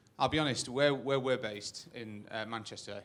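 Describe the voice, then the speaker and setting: Moderate pace in a northern English accent, with ordinary pitch variation. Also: man. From northern England. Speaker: audience member. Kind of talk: audience question. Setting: stage with audience.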